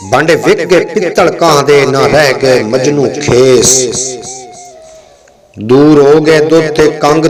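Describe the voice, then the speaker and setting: Music plays in the background as a man speaks at a fairly high pitch. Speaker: poetry reciter. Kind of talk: poetry reading.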